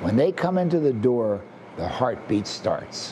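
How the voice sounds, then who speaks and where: With noticeable background noise, a man's pitch swings very widely. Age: 80s+. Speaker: summer camp founder. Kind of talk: interview testimony.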